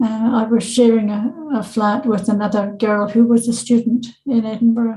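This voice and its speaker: Her somewhat breathy voice has a dark, mellow tone and fairly high pitch as the woman speaks at a moderate pace with monotone, flat intonation. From Scotland, Renfrew. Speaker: adoption counsellor and author. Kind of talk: interview.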